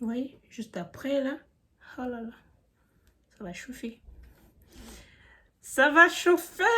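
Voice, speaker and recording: A woman with a high pitch and a bright, sharp tone speaks at a very slow pace with lively intonation. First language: not French (speaking French). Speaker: beauty youtuber. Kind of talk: tutorial. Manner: casual, chatty.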